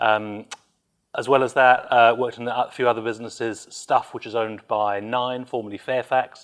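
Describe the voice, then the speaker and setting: A medium-pitched man speaks at a moderate pace in a British accent, his intonation fairly even. The background is quiet. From UK. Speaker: business executive. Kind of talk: interview. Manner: hesitant, many fillers.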